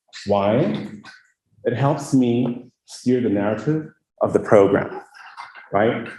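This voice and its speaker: A man speaks at a medium pitch in a dark, mellow tone. Room echo is audible. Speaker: cybersecurity manager, guest speaker. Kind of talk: lecture. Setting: lecture hall with audience.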